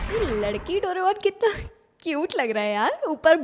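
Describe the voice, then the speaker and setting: A woman's extremely high voice with very wide pitch swings. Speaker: voice actor. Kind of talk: casual reaction talk to camera. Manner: energetic, expressive.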